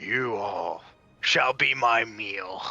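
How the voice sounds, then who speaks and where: In a booming, put-on character voice at a medium pitch, a man performs over faint music in the background. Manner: menacing.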